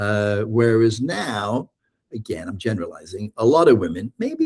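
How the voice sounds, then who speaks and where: A man's medium-pitched voice has a dark, mellow tone and a dry, close sound with no echo. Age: 60s. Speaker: therapist and author. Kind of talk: casual podcast conversation. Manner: hesitant, many fillers.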